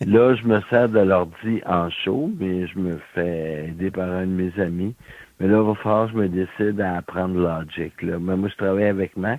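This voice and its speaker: A man speaks at a very deep, low pitch. He keeps a fairly slow pace and fairly even intonation. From Quebec City, Quebec. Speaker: blind musician. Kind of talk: interview.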